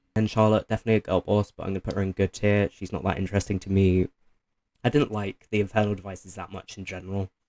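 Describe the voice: A man speaks quickly in a low voice with a slightly mellow tone and little pitch movement, the sound dry and close with no echo.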